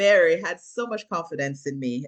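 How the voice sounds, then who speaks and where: With a Jamaican accent, a woman speaks with lively intonation. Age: 40s. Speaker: actress and filmmaker. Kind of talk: interview.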